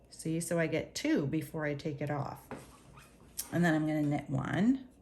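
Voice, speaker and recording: Amid audible room echo, a woman with a very deep, low pitch talks at a moderate pace with ordinary pitch variation. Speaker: knitting teacher. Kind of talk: tutorial.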